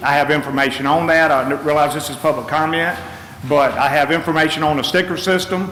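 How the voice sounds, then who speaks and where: A man's fairly high voice with an American accent and fairly even intonation, with noticeable background noise and audible room echo. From North Carolina, Gates County. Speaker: public commenter at county meeting. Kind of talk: public comment at government meeting. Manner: fast.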